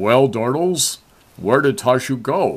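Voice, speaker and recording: A man performs a put-on character voice at a medium pitch. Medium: read story.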